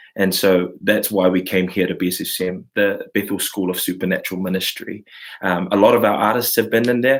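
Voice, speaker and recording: With a New Zealand accent, a man speaks fairly quickly in a fairly low pitch and fairly even intonation. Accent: New Zealand (Kiwi). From New Zealand, Samoan community. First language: Samoan. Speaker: worship leader and class host. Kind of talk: online live class, casual talk. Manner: halting, many fillers.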